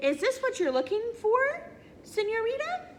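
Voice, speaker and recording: Squeaky and extremely high-pitched, a woman's put-on character voice swings very widely in pitch over clear background noise. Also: moderate pace. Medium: read story.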